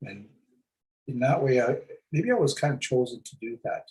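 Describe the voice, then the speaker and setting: At a moderate pace, a man speaks in a somewhat breathy voice at a fairly high pitch. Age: 60s. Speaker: First Nations chief. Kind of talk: casual chat. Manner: halting, many repeated words.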